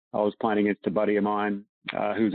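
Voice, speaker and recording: This man has an Australian accent and a fairly low pitch. He talks at a fairly quick pace. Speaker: professional golfer. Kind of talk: casual interview chat.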